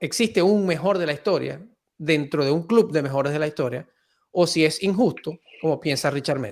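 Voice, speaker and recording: The recording is very clean with a silent background. The speech moves at a fairly quick pace. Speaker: podcast host. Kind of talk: podcast interview host.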